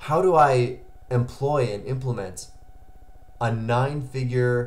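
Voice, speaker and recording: His pitch moves up and down in an ordinary way. The man talks very slowly. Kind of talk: casual vlog chat. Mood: motivated, reflective. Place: home room.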